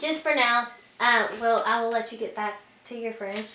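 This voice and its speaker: Over noticeable background noise, a woman talks at a moderate pace in a high pitch. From Louisiana. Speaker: witchcraft practitioner. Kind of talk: casual ritual demonstration.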